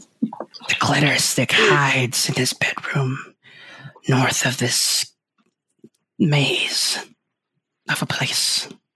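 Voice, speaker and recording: A raspy, put-on character voice at a low-to-middle pitch moves at a very slow pace. Long, frequent pauses break it up. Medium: actual play. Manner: broken, clipped speech.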